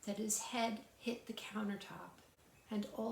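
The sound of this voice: What comes through is an unforced reading voice.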